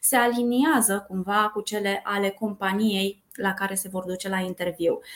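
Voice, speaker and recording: A woman's plain, everyday voice, medium in pitch, with fairly even intonation at a moderate pace on a very clean recording with a silent background. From Brașov, Romania. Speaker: recruitment coordinator. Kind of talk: podcast interview.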